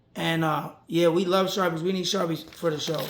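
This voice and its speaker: Loud and animated, a man with a high pitch talks at a moderate pace amid noticeable background noise and audible room echo. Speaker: podcast host and graffiti artist. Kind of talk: casual chat.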